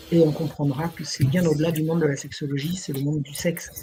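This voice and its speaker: With a very deep, low pitch, a woman speaks at a fairly quick pace in a dark, mellow, somewhat breathy tone with fairly even intonation. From France, Burgundy. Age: 70s. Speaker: historian and writer. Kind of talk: interview storytelling.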